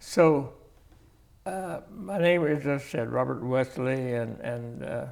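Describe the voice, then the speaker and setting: With audible room echo, a man with an American accent speaks at a medium pitch and a very slow pace. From Independence, Kansas area, US Midwest. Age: 90s (91). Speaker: community elder. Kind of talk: interview. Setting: library. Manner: halting, repetitive.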